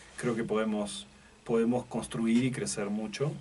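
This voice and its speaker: A man speaks at a fairly slow pace in an Argentine accent, his pitch medium. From Argentina. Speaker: logistics executive. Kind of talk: radio interview. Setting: radio studio. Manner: halting, many repetitions and fillers.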